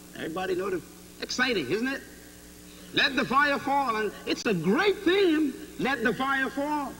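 Moderate pace from a man, light background noise behind. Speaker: preacher. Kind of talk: sermon. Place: hall. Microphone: podium.

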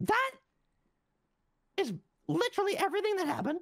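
This put-on character voice sits at an extremely high pitch and races along at a very fast pace. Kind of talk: heated meeting speech. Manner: indignant, storytelling, exasperated.

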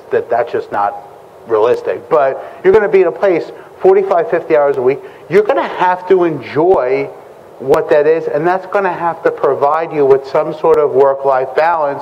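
Moderate pace from a man, light background noise behind. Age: 40s. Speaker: security recruiter and panel moderator; presenter. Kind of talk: conference panel discussion; talk to an audience. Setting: conference stage with audience. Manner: casual, many filler words. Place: meeting room.

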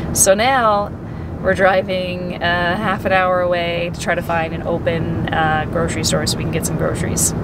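A woman at a moderate pace, dry sound with no echo, over loud background noise. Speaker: family vlogger. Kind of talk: casual vlog chat. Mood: cheerful, laughing. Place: car. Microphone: phone near.

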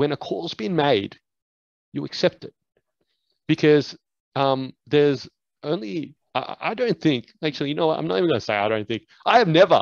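Over a quiet background, a man talks at a moderate pace, his pitch swinging very widely. Long pauses come often, and the sound is dry with no echo. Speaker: basketball coach, podcast host. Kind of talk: podcast conversation. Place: home room.

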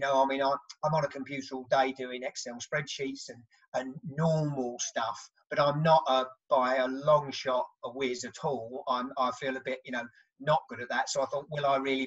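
In a southern English accent, a man at a medium pitch talks in a monotone, flat intonation over a quiet background. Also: moderate pace. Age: 50s. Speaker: construction project manager; podcast guest. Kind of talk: casual chat. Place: home room. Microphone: video call.

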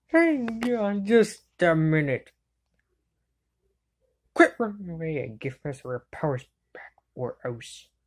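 Using a cartoonish character voice, a woman speaks slowly at a low pitch, with big pitch swings and long, frequent pauses.

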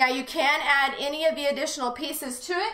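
Against a quiet background with audible room echo, a woman uses a raised, projected voice in a bright, sharp tone at a fairly slow pace. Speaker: shop host. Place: studio.

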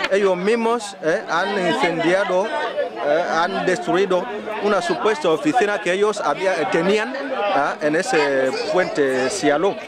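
Over crowd noise in the background, a man speaks very slowly in a high voice with lively intonation. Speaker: journalist. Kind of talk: news field report. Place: street.

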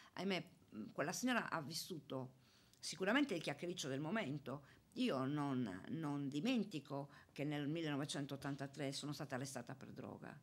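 A woman speaks at a very deep, low pitch. Her intonation is lively. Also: moderate pace. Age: 60s. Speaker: retiring municipal police officer; radio guest. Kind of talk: interview. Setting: studio. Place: studio. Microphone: studio mic.

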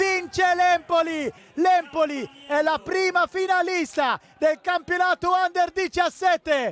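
An extremely high-pitched man is heard over noticeable background noise. The sound is dry and close, with no echo. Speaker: football commentator. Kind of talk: live sports commentary on a youth football match. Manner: rising excitement at goals.

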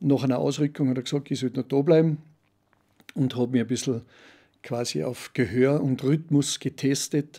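Over a quiet background, a man speaks at a fairly high pitch with a dark, mellow tone. His intonation stays fairly even. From Austria, Salzburg (Pongau, Werfen); Austria. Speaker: business coach and brass band chairman; business coach. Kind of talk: casual chat. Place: studio. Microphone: studio mic.

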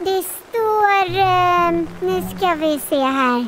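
A high-pitched, put-on character voice over clear background noise. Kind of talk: dramatized children's audiobook.

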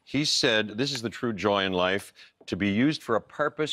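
Fairly quick speech from a man, ordinary pitch variation, quiet background. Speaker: guest. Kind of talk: talk show chat, quoting a passage. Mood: relaxed, playful. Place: studio. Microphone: lapel.

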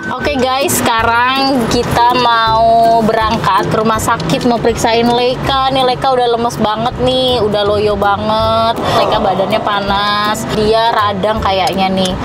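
A woman at a very slow pace, with music in the background. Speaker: family vlogger. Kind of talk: casual vlog chat. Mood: concerned but chatty. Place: car.

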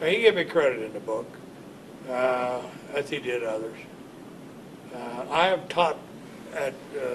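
A man with an American accent speaks at a fairly slow pace in a medium pitch, with noticeable background noise behind him. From Ohio, US. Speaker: war veteran. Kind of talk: oral history interview. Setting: library. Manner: halting. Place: office.

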